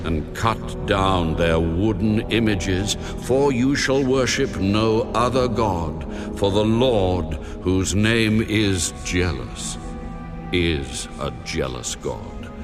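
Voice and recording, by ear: A man puts on a character voice, pitched low, with lively intonation. He speaks at a slow pace while clear music plays in the background.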